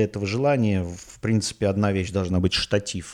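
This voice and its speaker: Speaking at a moderate pace, a man with a fairly low voice uses ordinary pitch variation. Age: 40s. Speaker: podcaster. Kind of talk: casual monologue. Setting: home, rented apartment. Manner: halting.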